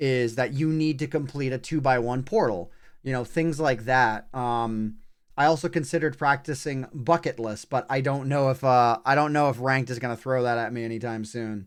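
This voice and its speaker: On a very clean recording with a silent background, a man uses a plain, everyday voice at a medium pitch, a moderate pace and fairly even intonation. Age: 30s. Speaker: gaming streamer. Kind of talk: live game commentary. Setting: livestream. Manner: casual, with fillers and restarts.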